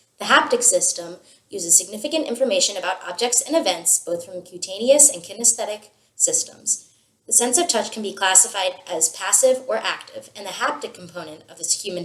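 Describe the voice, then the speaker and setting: A woman talks at a fairly quick pace in an ordinary speaking voice, medium in pitch, with lively intonation and big swings in loudness. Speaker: student. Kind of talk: scripted video presentation. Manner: formal.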